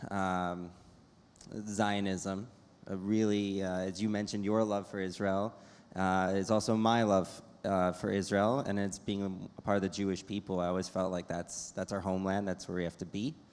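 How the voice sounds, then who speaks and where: An ordinary speaking voice comes through with an American accent. The pace is moderate. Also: man. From US Midwest, Chicago. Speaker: medical device entrepreneur. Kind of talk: panel discussion.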